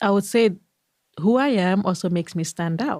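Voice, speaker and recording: A Nigerian accent at a fairly slow pace, with ordinary pitch variation. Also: woman. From Nigeria, Igbo, eastern Nigeria. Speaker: physician. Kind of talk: interview conversation.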